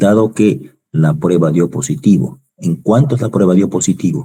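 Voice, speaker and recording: A man talks with a very deep, low pitch and a dark, mellow tone. His pace is fairly slow, with vocal fry. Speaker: university lecturer. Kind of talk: online lecture.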